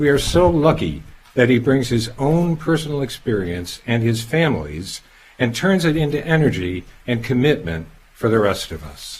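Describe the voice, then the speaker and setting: A man's medium-pitched, somewhat breathy voice with very wide pitch swings, at a moderate pace. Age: 70s. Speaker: cancer patient introducing the speaker. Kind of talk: prepared speech. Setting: pharmacy event with audience. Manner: formal.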